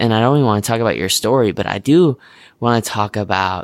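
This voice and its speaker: A man speaks at a fairly low pitch with ordinary pitch variation and a plain, everyday voice. The recording is very clean, with a silent background. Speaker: podcast host. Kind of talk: casual interview with scripted intro.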